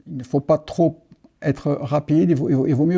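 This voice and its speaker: Against a quiet background, a man speaks in a fairly high voice with a dark, mellow tone. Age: 60s. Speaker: expat client giving a testimonial. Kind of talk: testimony. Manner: halting, many repetitions.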